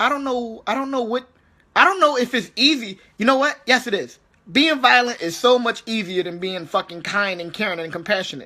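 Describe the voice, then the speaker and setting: At a moderate pace, this raised, projected voice carries an animated tone. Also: man. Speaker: army veteran vlogger. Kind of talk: casual rant monologue. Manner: halting, repetitive.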